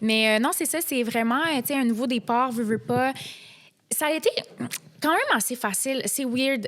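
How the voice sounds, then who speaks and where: A woman speaks with a high pitch and ordinary pitch variation. Her moderate pace is marked by long, frequent pauses. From Quebec, immigrated from Morocco at age 7. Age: 20s. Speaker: reality TV contestant. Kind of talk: podcast interview.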